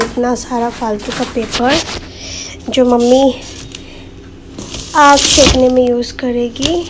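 A woman speaks in a fairly high pitch with fairly even intonation. Long, frequent pauses break her speech over faint background noise.

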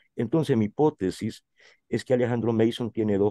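A man speaks at medium pitch in a dark, mellow tone with vocal fry and ordinary pitch variation. The sound is dry and close, with no echo. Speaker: writer and journalist. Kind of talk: interview.

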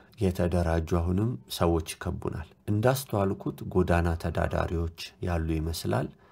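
A somewhat breathy man with a very deep, low pitch, a dark, mellow tone and ordinary pitch variation. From Ethiopia, Addis Ababa. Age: 30s. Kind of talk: testimony recounting a dream.

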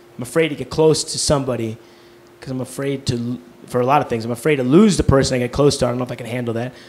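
This man talks at a very fast pace. His pitch sits in the medium range. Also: fairly even intonation. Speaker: stand-up comedian. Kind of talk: stand-up comedy set, confessional and self-deprecating. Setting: stage with live audience. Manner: halting, stammering, with self-interrupting restarts. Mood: confessional, earnest. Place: stage. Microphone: handheld.

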